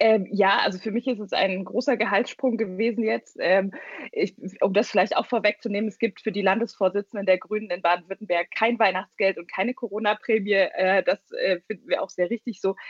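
Her intonation fairly even, a woman speaks at medium pitch and a fairly quick pace. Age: 20s. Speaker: party leader. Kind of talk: interview. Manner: hesitant, many fillers.

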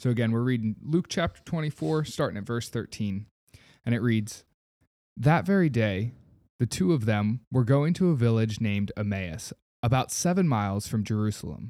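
Dark, mellow tone with lively intonation at a moderate pace, on a very clean recording with a silent background. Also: man, medium pitch for a man. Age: 20s. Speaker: nurse practitioner and guest co-host. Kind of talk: scripture reading aloud.

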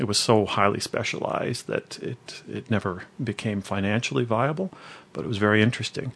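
A plain, everyday voice with a Canadian accent, at a fairly quick pace. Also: man. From Cambridge, Ontario, Canada. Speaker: former classical musician and sound engineer. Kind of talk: casual interview.

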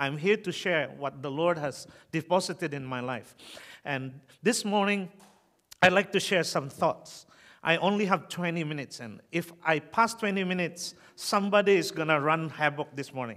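Speaking at a moderate pace, a man has a high pitch and a bright, sharp tone in a Filipino accent. The recording is very clean, with a silent background. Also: ordinary pitch variation. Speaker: preacher. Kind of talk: sermon. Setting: church. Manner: halting.

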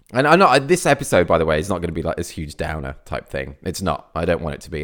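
A man speaks with a Midlands accent. The recording is very clean, with a silent background. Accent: Midlands, e.g. says year that way. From English Midlands, near Birmingham. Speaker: photographer and podcast host. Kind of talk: solo podcast monologue. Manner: hesitant, many fillers.

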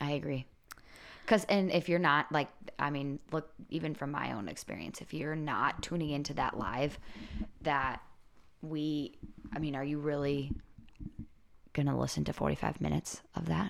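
Pausing long and often, a woman with a very deep voice and a Midwestern accent speaks with vocal fry and ordinary pitch variation. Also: moderate pace. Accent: Midwest. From Wisconsin. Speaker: podcast co-host, social media coach. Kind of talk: casual chat. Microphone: recorded on laptop mic.

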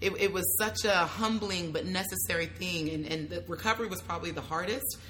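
At a moderate pace, a woman speaks with a Californian accent. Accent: American (California). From US, California Bay Area. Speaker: travel blogger. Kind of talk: casual chat. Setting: in-person at a festival. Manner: animated.

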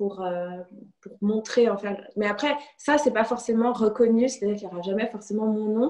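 Here is a woman with a normal speaking voice and fairly high pitch. She keeps a moderate pace and fairly even intonation. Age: 30s. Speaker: illustrator. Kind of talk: interview.

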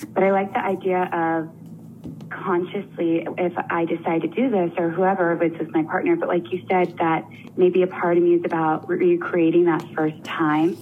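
A woman with a fairly low-pitched voice speaks at a moderate pace with fairly even intonation. There is noticeable background noise. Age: 30s. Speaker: caller seeking coaching. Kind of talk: coaching conversation. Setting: phone call.

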